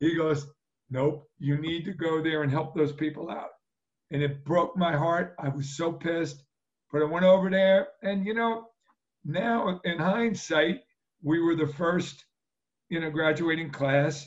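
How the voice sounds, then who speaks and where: With a New Jersey accent, a man talks in a fairly high voice with ordinary pitch variation. Long pauses come frequently. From New Jersey (Jersey Shore). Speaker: retired pro football player. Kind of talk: interview.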